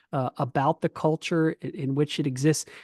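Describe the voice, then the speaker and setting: On a dry, close recording with no echo, a man with an American accent speaks at a fairly high pitch in fairly even intonation. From Pennsylvania, US. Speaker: professor and speaking coach. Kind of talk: webinar presentation; Q&A answer. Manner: fast; conversational with fillers.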